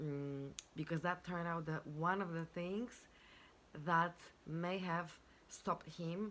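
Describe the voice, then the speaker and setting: A speaker with a non-native accent talks at a very slow pace, with fairly even intonation and long, frequent pauses. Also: woman, fairly low pitch for a woman. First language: not English. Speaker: life and business coach. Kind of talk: self-help talk to camera. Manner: halting, with many fillers.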